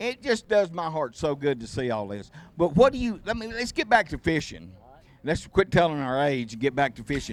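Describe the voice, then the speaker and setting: A man with a Southern US accent at a fairly quick pace, with very wide pitch swings and big swings in loudness. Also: fairly high pitch for a man. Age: 70s. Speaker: tournament host. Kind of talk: casual chat.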